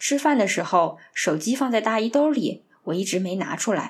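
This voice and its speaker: In a very clean recording with a silent background, a woman speaks at a moderate pace and a medium pitch. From Northeast China, Harbin. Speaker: podcast host. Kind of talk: scripted narration.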